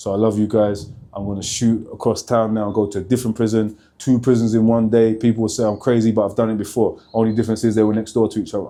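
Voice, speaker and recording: A man with a London accent, a dark, mellow tone and a very fast pace, with hardly any pauses. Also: medium pitch for a man. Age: 40s. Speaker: motivational speaker, former prisoner. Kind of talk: vlog to camera. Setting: outdoors outside a prison. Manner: energetic.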